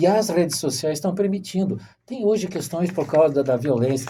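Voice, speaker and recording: At a moderate pace, a man with a high voice speaks with lively intonation. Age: 60s. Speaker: podcast host. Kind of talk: interview. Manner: halting, with repeated syllables.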